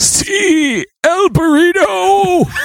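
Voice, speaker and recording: A put-on character voice, high in pitch, with very wide pitch swings. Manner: exaggerated, comedic.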